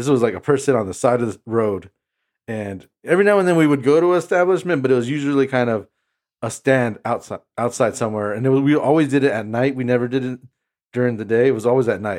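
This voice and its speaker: Talking at a very fast pace with an American accent and ordinary pitch variation, a man is captured on a very clean recording with a silent background. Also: medium pitch for a man. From US, southern California (Imperial Valley). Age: 30s. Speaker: podcast host. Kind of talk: casual chat, personal testimony.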